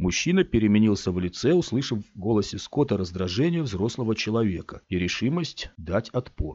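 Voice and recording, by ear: In a natural voice, someone reads a passage aloud.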